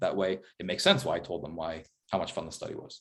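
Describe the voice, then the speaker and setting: The man's words come at a very fast pace. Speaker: professor. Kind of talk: lecture. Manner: casual with fillers.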